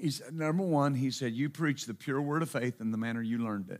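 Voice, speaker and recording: The recording is very clean, with a silent background. A man with a Texan accent speaks at a medium pitch, using ordinary pitch variation. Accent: Texan (US Southern). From Texas. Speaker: pastor. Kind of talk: sermon. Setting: church.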